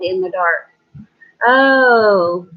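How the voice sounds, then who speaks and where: A woman's voice over background music. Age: 40s. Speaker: beauty and chat vlogger. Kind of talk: casual live-stream chat with viewers.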